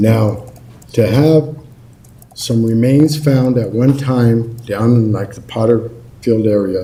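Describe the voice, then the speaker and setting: Speech comes at a fairly slow pace with ordinary pitch variation. Audible room echo and noticeable background noise are present. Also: man. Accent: American. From Colorado (Lafayette). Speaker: public commenter. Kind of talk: public comment at council meeting. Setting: city council meeting.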